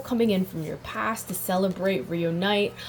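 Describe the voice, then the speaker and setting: A woman speaks at a medium pitch. Noticeable background noise is present. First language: not English. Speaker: tarot reader. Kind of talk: tarot reading. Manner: halting, self-correcting; animated.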